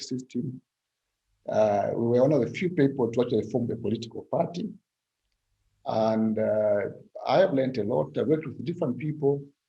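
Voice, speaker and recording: A somewhat breathy man at a medium pitch, lively intonation, a fairly quick pace broken by long, frequent pauses. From Zambia. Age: 60s. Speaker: political scientist. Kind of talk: interview. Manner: halting.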